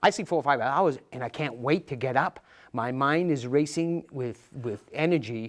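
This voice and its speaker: Here is a man with a medium-pitched voice and ordinary pitch variation. The background is quiet. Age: 60s. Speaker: former truck driver turned health coach. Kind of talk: interview. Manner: talkative; halting.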